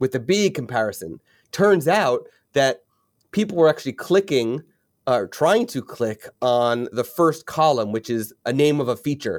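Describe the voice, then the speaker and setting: In a very clean recording with a silent background, a man speaks in a fairly high voice at a fairly slow pace. The sound is dry and close with no echo, and his pitch swings very widely. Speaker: podcast host. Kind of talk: casual interview.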